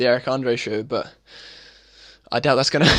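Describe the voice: A man speaks at a medium pitch with a fairly bright tone. His pace is moderate.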